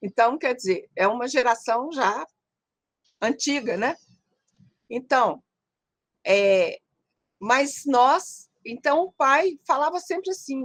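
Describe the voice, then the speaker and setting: A woman's high voice at a very slow pace, with very wide pitch swings and a dry, close sound with no echo. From Brazil, Minas Gerais (Caratinga). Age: 70s. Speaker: psychologist. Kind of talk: interview. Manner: halting.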